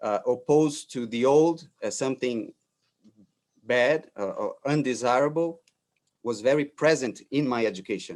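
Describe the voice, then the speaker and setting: A man's fairly high voice at a moderate pace, with ordinary pitch variation, on a very clean recording with a silent background. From Brazil. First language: Portuguese. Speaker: architect. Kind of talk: lecture. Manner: halting, many fillers and repetitions.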